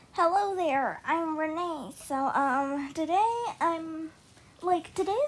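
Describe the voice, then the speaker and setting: A high-pitched woman speaks fairly slowly with lively intonation. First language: not English. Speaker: digital art youtuber. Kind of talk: voiceover. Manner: hesitant, many fillers.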